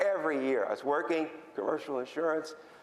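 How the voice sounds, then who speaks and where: Amid audible room echo, a man talks at a fairly quick pace with a fairly high pitch. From Philadelphia, US. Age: 70s. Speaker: patient advocate. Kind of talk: conference talk. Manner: halting.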